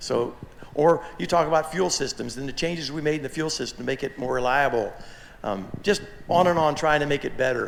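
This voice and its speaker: With noticeable background noise behind him, a man speaks at a fairly quick pace in a fairly high voice with ordinary pitch variation. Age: 60s. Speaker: aircraft kit manufacturer. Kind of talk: forum talk. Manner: halting, many repeated words.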